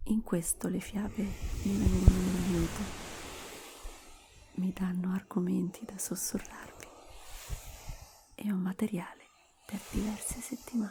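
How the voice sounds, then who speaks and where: Soft-spoken and at a fairly slow pace, the speaker leaves long, frequent pauses against noticeable background noise. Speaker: ASMR creator. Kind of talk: ASMR talk to viewers.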